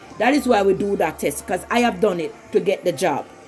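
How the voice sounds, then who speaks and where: A woman with a Jamaican accent talks at a fairly quick pace with lively intonation over music in the background. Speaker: vlogger. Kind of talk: personal commentary monologue. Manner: halting.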